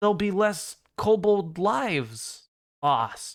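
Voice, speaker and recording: A man uses a put-on character voice. He speaks at a high pitch and a very slow pace. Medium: actual play. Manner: hesitant, timid.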